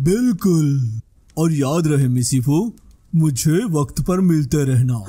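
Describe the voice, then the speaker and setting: Putting on a character voice, a man talks very slowly at a fairly high pitch. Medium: fan dub. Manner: calm, helpful.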